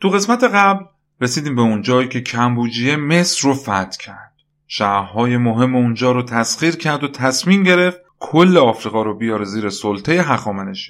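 A man of medium pitch speaks with very wide pitch swings. His pace is moderate. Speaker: history podcast narrator. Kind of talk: scripted narration.

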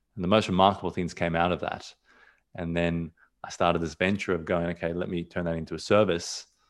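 Over a very clean recording with a silent background, a man with a very deep, low pitch speaks very fast in a monotone, flat intonation. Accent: Australian. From Australia, raised there from age two. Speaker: portrait photographer. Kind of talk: casual interview chat. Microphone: new mic, crisp sound.

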